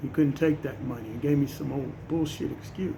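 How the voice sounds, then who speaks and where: A man with a fairly high pitch and a dark, mellow tone speaks somewhat breathily, his pitch varying in an ordinary way. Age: 60s. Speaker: social media commentator. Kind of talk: personal monologue.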